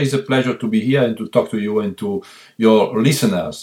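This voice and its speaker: A man speaks at a fairly quick pace and medium pitch. His intonation is lively. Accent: Italian. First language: Italian. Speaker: violist. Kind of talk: interview.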